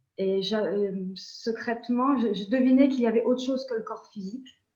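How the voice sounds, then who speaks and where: There is audible room echo as a woman talks with lively intonation. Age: 60s. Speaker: nurse and energy healer. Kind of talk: interview. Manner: halting.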